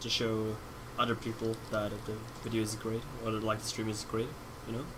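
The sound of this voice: A man speaks at a moderate pace with a Swedish accent. His fairly low voice stays monotone and flat.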